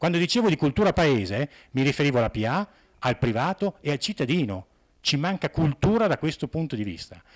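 Speaking at a fairly quick pace against a quiet background, a man uses a fairly high pitch with vocal fry. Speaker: conference speaker. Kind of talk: conference talk. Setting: conference hall with audience. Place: hall. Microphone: handheld.

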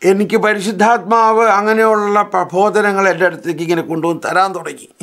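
Over a quiet background, a man speaks with a high pitch and fairly even intonation. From Kerala, India. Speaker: priest teacher. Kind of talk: lecture; religious lecture and prayer. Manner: repetitive, emphatic. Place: studio.

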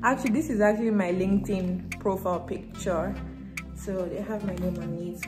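Clear music plays behind a woman as she speaks. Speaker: vlogger. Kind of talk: casual vlog chat. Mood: cheerful, chatty. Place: home room. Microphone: phone near.

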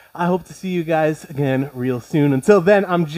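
A man is heard speaking against a quiet background. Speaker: fitness instructor. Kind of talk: workout instruction. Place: home room.

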